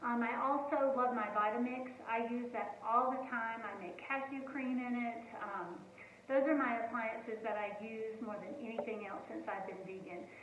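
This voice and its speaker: Speaking with an American accent, a woman uses a fairly high pitch, fairly even intonation and a moderate pace. Noticeable background noise and audible room echo come through. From US South, North Carolina. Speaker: home cooking channel host. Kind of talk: casual home cooking video talk. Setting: home kitchen. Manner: hesitant, many fillers.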